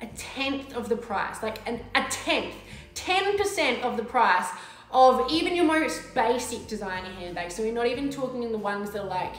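A woman speaks at a moderate pace with few pauses, her fairly high voice rising and falling in lively intonation against audible room echo.

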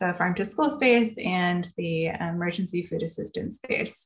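A woman talks with ordinary pitch variation. Her voice is somewhat breathy. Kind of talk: presentation to online panel. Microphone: video call.

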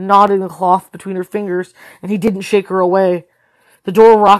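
Against a quiet background, a natural voice reads text aloud.

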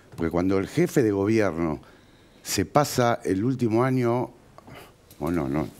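Very wide swings in pitch from a male speaker. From Argentina, Morón (Buenos Aires); Buenos Aires, Argentina. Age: 40s. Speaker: builder and real estate businessman, local politician; local politician. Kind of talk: TV interview. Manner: animated. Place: studio. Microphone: headset.

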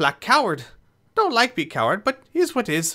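On a very clean recording with a silent background, a man puts on a squeaky character voice with a nervous, timid tone. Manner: nervous, pleading; broken speech, talks about himself by name, timid.

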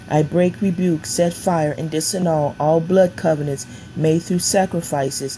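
A woman's very deep, low pitch with fairly even intonation over noticeable background noise. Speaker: prayer minister. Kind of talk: fervent deliverance prayer declaration. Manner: forceful, commanding, repetitive cadence; ends softening into reverent blessing.

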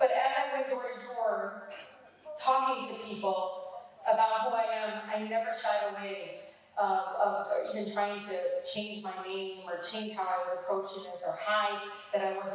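A woman speaks at a moderate pace amid light background noise and strong room echo. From Detroit, USA. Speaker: politician. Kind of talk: public speech. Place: hall.

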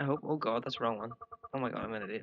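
A man talks with a strong Northern Irish accent. The sound is dry, with no echo. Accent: broad Northern Irish. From Northern Ireland. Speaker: gaming video creator; game commentator. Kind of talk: gameplay commentary. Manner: casual, rambling. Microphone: headset.

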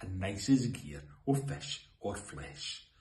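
A man with a Scottish accent speaks with a fairly low pitch. His pitch swings very widely, and room echo is audible. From Scotland. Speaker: poetry reader. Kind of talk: poetry reading. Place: home room. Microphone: phone near.

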